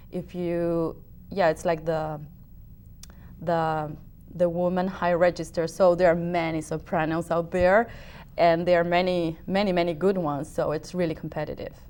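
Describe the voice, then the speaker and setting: Speaking with a Spanish accent, a woman has a fairly low pitch. Her pace is moderate and her intonation monotone and flat. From Uruguay. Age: 30s. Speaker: opera singer. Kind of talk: interview. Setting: TV talk show studio. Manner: halting.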